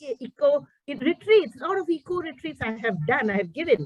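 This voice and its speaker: A woman's high voice with very wide pitch swings, dry and close with no echo. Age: 60s. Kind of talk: presentation.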